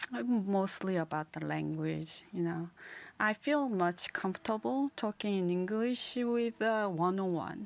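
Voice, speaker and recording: Speaking at a fairly slow pace with a Korean accent, a woman uses lively intonation. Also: medium pitch for a woman. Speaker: podcast co-host, art student. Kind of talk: casual chat. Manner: halting.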